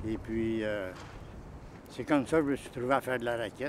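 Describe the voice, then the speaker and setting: A man's voice over noticeable background noise. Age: 70s. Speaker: snowshoer. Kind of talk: interview.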